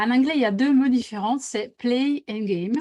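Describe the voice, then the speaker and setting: Speaking at a fairly slow pace, a woman with a high pitch and a dark, mellow tone uses ordinary pitch variation on a very clean recording with a silent background. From Italy. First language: Italian (speaking French). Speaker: team facilitator. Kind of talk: interview. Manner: hesitant, many fillers.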